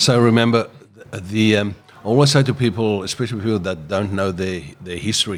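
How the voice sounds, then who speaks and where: With music in the background, a man with a South African accent talks at a fairly quick pace with ordinary pitch variation. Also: fairly low pitch for a man. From South Africa, George, Western Cape. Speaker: business owner. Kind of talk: podcast interview.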